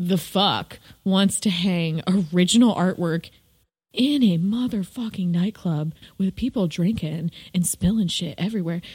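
A woman with an American accent speaks at a fairly slow pace. Her medium-pitched voice is somewhat breathy. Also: ordinary pitch variation. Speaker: podcast co-host and visual artist. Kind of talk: casual chat.

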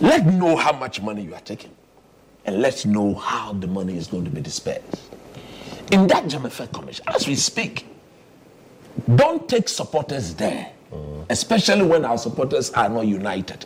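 Amid noticeable background noise, a man speaks at a moderate pace and medium pitch, with very wide pitch swings, big swings in loudness and long, frequent pauses. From Ghana. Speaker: sports analyst. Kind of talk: panel discussion.

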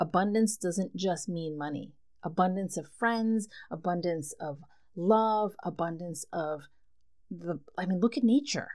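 Speaking in a relaxed tone at a fairly slow pace, a woman with an American accent keeps a fairly low pitch with ordinary variation. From New Jersey. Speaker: podcast host. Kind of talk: casual solo monologue. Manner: relaxed, laughing.

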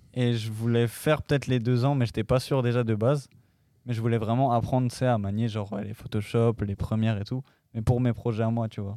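A man's medium-pitched voice, dark and mellow, flat and monotone at a fairly quick pace, on a very clean recording with a silent background. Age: 20s. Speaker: DJ and music producer. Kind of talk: casual interview.

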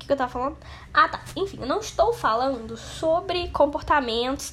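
A woman's raised, projected voice, high and bright with a sharp tone and ordinary pitch variation. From Brazil, interior of Rio de Janeiro state. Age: 20s. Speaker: podcaster. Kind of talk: casual monologue.

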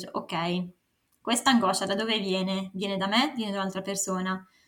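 Her voice falls at a medium pitch. The speaker is a woman. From northern Italy, Varese. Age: 20s. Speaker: writer and consultant. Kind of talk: interview.

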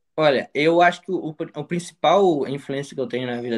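A man speaks with a plain, everyday voice. His intonation is lively and his pace moderate. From interior of Minas Gerais, Brazil. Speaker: medical student. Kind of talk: interview testimony.

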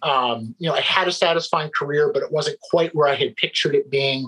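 A man in an American accent talks at a fairly quick pace over noticeable background noise. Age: 40s. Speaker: employment lawyer and recovering addict. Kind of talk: interview, personal testimony.

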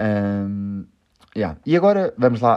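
A man speaks with a European Portuguese accent. His voice is fairly low. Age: 20s. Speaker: podcast host. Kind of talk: casual chat. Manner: calm.

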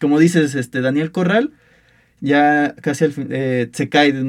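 Fairly slow and with fairly even intonation, the speech comes in a plain, everyday voice. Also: man. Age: 20s. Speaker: university student sports podcast host. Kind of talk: casual sports debate.

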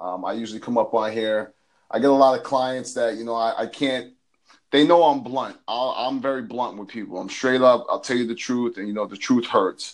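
Using a plain, everyday voice, a man speaks at a moderate pace and medium pitch, with fairly even intonation and big swings in loudness. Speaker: health and fitness coach. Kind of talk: casual chat.

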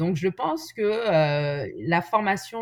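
Her voice carries a slight breathiness. The speaker is a woman. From France. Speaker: nurse and patient advocate. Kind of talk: interview testimony.

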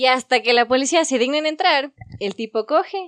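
Her high pitch takes very wide swings as a woman speaks in a dry, close sound with no echo. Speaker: podcast host. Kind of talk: casual chat among friends.

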